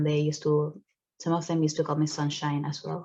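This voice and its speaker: Here a woman speaks with a Spanish accent. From Venezuela. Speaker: student photographer. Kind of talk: narrated exhibition talk. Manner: casual, conversational.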